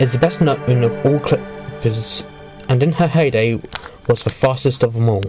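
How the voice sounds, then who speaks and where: Someone speaks at a fairly slow pace while music plays in the background. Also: man. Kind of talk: history narration.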